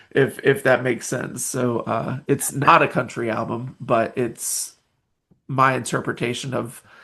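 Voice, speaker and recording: A man speaks in an American accent with a bright, sharp tone at a medium pitch. His intonation is monotone and flat, and his pace fairly slow. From US South, Nashville, Tennessee. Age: 40s. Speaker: independent musician. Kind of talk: podcast interview. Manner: halting, many fillers.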